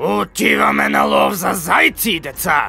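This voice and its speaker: A man puts on a character voice, fairly low in pitch, with very wide pitch swings. Background noise is clearly audible. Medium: fan dub.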